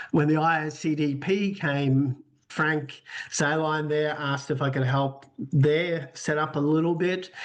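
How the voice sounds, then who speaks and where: A fairly high-pitched man's voice with an Australian accent, fairly slow, with monotone, flat intonation and very even loudness. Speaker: sports association executive. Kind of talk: podcast interview.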